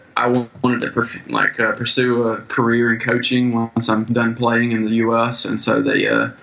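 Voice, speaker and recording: An American man talks at a moderate pace in a medium pitch. His delivery is a flat monotone, with noticeable background noise behind him. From US small town. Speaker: baseball player and coach abroad. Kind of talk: casual interview.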